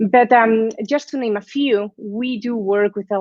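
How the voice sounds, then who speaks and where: With a Spanish accent, a woman speaks at a fairly slow pace and uses ordinary pitch variation. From Spain. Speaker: guest lecturer, sales executive. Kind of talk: lecture. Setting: live online class.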